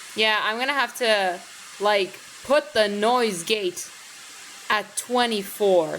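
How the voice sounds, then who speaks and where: A woman speaks at a very slow pace with long, frequent pauses. Her fairly high pitch shows ordinary variation, and her loudness stays very even. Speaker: gaming streamer. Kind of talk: gameplay commentary. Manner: casual, filler-heavy.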